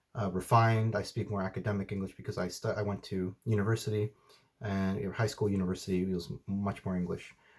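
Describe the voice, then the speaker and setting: The man's voice comes across as somewhat breathy. He talks at a fairly quick pace. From United States, Mexican family. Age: 30s. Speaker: outdoor vlogger. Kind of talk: Q&A vlog. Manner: hesitant, with many fillers.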